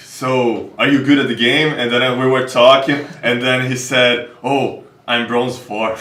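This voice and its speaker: Amid noticeable background noise and audible room echo, a man with a Portuguese accent speaks fairly slowly at a medium pitch with fairly even intonation. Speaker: esports talk show host. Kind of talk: casual interview chat.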